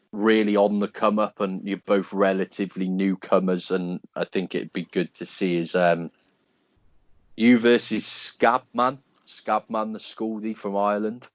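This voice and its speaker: A man speaks at a fairly slow pace with a British accent. His pitch is fairly low, and his intonation stays fairly even. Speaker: podcast host. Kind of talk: casual interview chat. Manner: loud.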